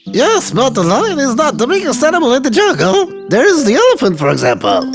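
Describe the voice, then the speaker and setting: A man puts on a character voice at an extremely high pitch and a fairly quick pace. Clear music plays in the background. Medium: read story. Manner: calm.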